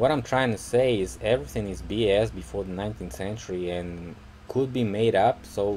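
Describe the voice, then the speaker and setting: A man's fairly low voice with lively intonation, a fairly quick pace, some breathiness, and big swings in loudness. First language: Russian. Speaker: video blogger. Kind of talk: casual commentary to camera. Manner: halting, many fillers.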